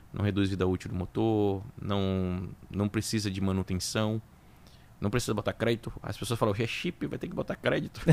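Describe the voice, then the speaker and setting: The speech comes at a moderate pace in a Bahian accent, with fairly even intonation. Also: man, fairly low pitch for a man. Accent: Bahian Brazilian Portuguese. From Bahia, Brazil (Salvador). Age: 40s. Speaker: auto repair business owner. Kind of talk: interview.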